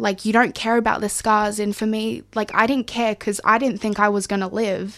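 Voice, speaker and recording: Fairly high in pitch, a woman with an Australian accent speaks at a moderate pace in a monotone, flat intonation with hardly any pauses. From Far North Queensland, Australia. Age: 20s. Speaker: community radio presenter. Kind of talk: personal testimony interview. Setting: radio studio.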